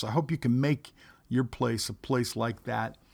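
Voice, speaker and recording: On a very clean recording with a silent background, a man speaks in a normal speaking voice at a medium pitch and a fairly slow pace, with ordinary pitch variation. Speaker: podcast host and pastor. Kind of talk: poem reading. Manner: gentle, measured.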